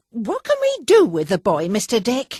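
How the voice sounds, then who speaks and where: A woman's high-pitched, put-on character voice at a moderate pace, in a dry, close sound with no echo. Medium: read story. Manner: brusque, commanding.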